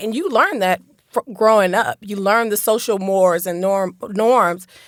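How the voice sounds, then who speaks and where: A woman with an American accent talks at a moderate pace with ordinary pitch variation and a normal speaking voice. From Central Florida (Lakeland, Polk County), after early childhood in Detroit. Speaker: real estate broker and community advocate. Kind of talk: interview conversation. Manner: repeats words when starting sentences.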